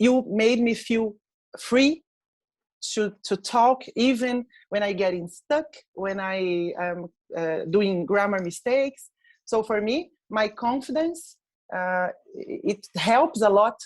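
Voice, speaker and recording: In a Portuguese accent, a woman talks very slowly with long, frequent pauses, her fairly high pitch carrying lively intonation on a very clean recording with a silent background. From Brazil. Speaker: English learner. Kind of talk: testimonial interview. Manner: halting, many fillers.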